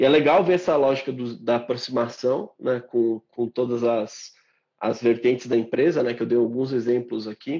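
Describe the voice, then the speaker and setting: A man with a regional Brazilian accent, medium in pitch, fairly even in intonation, at a moderate pace. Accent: noticeable regional Brazilian. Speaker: marketing professional and podcast host. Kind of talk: casual interview. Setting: online live stream.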